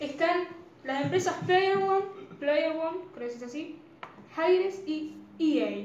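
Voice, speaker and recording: Very slow speech with long, frequent pauses, ordinary pitch variation and big swings in loudness comes through audible room echo and noticeable background noise. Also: woman, extremely high pitch for a woman. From Argentina. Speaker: podcast co-host. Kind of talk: casual chat.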